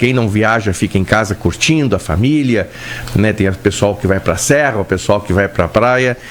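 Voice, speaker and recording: A man speaks at a fairly low pitch with ordinary pitch variation. Noticeable background noise runs behind him. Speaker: doctor hosting radio health show. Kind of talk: casual radio chat. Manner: calmer, less rushed than usual.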